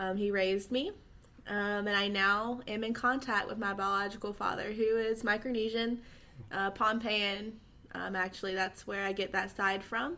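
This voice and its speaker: A woman with a Southern US accent speaks at a moderate pace and medium pitch. Her tone is bright and sharp, and her intonation stays fairly even. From US South, Georgia. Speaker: social media influencer. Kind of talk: casual interview.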